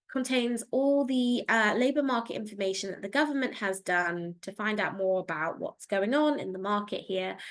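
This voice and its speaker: A woman's fairly high, bright, sharp voice with lively intonation and a British accent, over a quiet background. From England. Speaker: career advisor. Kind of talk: online Q&A session.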